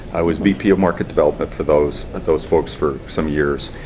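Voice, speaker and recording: With noticeable noise in the background, a man's speech keeps a moderate pace and ordinary pitch variation. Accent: strong New England. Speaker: company co-founder. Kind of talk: interview.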